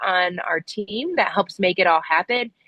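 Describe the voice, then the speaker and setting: A woman talks at a moderate pace in a fairly low pitch. She has a plain, everyday voice. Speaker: compost council member presenting at meeting. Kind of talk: online meeting update.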